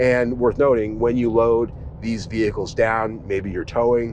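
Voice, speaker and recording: Amid noticeable background noise, a man talks at a medium pitch and a fairly quick pace. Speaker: car reviewer. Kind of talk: car review. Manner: casual, conversational.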